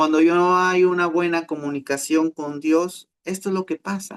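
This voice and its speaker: A man speaks high-pitched at a moderate pace. The sound is dry and close, with no echo. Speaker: pastor. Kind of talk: sermon.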